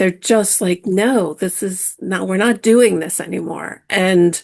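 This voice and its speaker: A woman's medium-pitched voice with vocal fry, ordinary pitch variation and a very slow pace, over a quiet background. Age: 60s. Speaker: spiritual teacher. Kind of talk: podcast interview.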